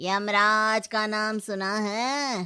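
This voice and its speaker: A female-sounding cartoonish character voice, fairly high in pitch, on a very clean recording with a silent background. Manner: stern, sarcastic.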